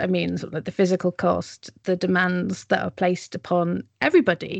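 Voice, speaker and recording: This woman has an ordinary speaking voice, using a medium pitch and a moderate pace. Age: 40s. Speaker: podcast host. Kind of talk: interview.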